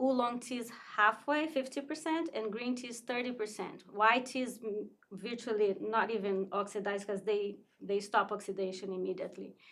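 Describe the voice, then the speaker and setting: This woman has a normal speaking voice with a fairly high pitch. She talks at a moderate pace with ordinary pitch variation. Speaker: tea shop owner. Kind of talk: casual interview.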